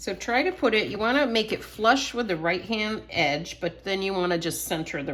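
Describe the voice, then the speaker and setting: At a moderate pace, a woman speaks with vocal fry and very wide pitch swings. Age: 60s. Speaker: scrapbooking workshop instructor. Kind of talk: tutorial. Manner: casual, chatty.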